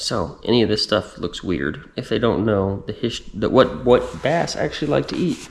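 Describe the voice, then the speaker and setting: With an American accent, a man of medium pitch talks at a moderate pace with very wide pitch swings and hardly any pauses, over noticeable background noise. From Texas. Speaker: fishing vlogger, army veteran. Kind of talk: casual product talk to camera.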